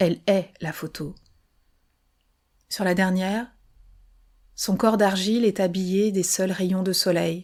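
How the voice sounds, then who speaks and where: On a very clean recording with a silent background, a soft-spoken woman talks at a very slow pace in a medium pitch with fairly even intonation. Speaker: podcast author and narrator. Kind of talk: fiction audiobook reading, serialized novel. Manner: soft, intimate, murmured.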